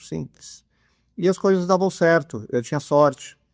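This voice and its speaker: With a dark, mellow tone, a man speaks at a moderate pace over a quiet background. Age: 70s. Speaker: mental coach. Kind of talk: podcast interview, casual chat.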